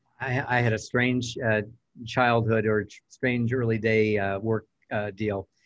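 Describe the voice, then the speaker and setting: Flat, monotone delivery from a man with an American accent, medium in pitch and at a fairly slow pace. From Southern California. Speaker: real estate coach and trainer. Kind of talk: interview.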